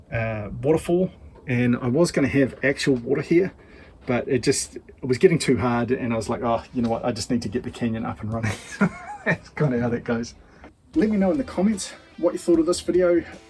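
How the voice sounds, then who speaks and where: A man with a New Zealand accent speaks at a medium pitch and fairly quick pace. His intonation is lively, and there is noticeable background noise. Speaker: diecast racing channel host. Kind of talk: casual vlog talk to camera. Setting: home shed.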